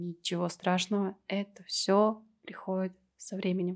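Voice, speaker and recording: Her intonation monotone and flat, a woman talks at medium pitch. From Kazakhstan, Temirtau. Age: 30s. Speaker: tattoo artist and podcast co-host. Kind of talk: casual chat.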